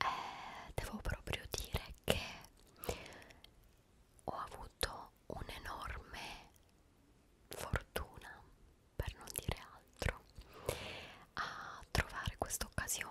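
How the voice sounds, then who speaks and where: Whispering and soft-spoken, a woman speaks very slowly with long, frequent pauses, in a dry sound with no echo under loud background noise. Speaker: ASMR-style vlogger. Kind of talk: casual vlog chat. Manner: soft intimate whisper, close mic. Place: home room. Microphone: studio mic.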